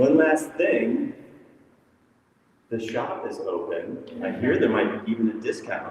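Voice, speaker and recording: A man speaks at a fairly slow pace with long, frequent pauses. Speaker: discussion moderator. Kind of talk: event moderation to live audience. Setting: echoey airport terminal with live audience. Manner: loud. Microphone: no microphone, echoey room.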